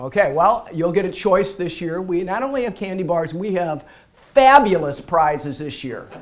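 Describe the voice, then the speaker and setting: A man's high-pitched voice at a moderate pace, with audible room echo. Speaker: bankruptcy lawyer. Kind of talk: seminar presentation. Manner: casual, repeats words.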